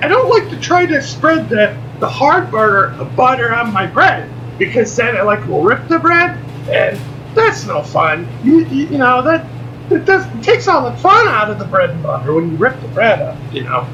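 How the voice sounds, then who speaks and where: A man keeps up a moderate pace while noticeable background noise runs underneath. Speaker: vlogger. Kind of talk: casual vlog monologue. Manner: loud, almost shouting; halting, repetitive.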